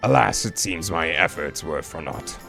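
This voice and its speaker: A raspy, put-on character voice from a man at a moderate pace, with clear music in the background. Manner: eerie, polite.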